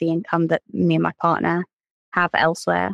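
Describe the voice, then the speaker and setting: A woman with a fairly low pitch talks at a fairly quick pace, with a dry, close sound with no echo and a quiet background. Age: 20s. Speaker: economist. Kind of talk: interview. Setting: remote recording at home.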